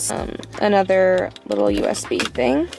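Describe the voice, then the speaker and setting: Woman's voice, dry with no echo, over clear music in the background. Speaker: vlogger. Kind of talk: casual vlog chat. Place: car.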